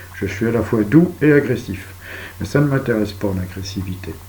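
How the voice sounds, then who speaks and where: A man's calm, fairly slow delivery with lively intonation, over noticeable background noise. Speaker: video blogger. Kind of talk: monologue. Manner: soft-spoken.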